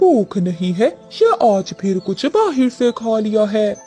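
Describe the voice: A cartoonish, female-sounding character voice, fairly high in pitch, at a moderate pace, with clear music in the background.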